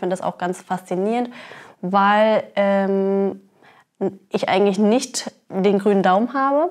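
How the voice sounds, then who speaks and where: The setting is a quiet background. Within it, a woman talks with fairly even intonation. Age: 30s. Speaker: cannabis fair co-founder; guest. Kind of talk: interview. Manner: hesitant with fillers. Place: office. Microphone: lapel.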